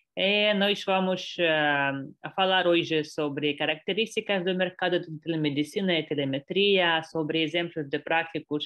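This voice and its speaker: A woman with a non-native accent speaks in a fairly low pitch with fairly even intonation. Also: fairly slow pace. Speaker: export director, webinar presenter. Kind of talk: webinar presentation. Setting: online webinar. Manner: halting, many hesitations.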